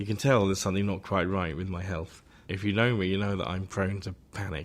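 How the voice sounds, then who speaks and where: A fairly quick, fairly low-pitched man with an English accent, on a very clean recording with a silent background. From England. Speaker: composer. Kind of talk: interview. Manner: fast.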